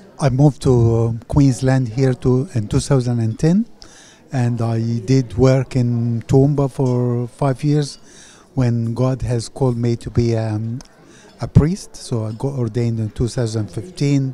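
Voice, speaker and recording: At a very slow pace, a man speaks with fairly even intonation, light background noise and a dry sound with no echo. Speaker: parish priest. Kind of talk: interview answer. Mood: grateful, warm. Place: hall. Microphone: handheld.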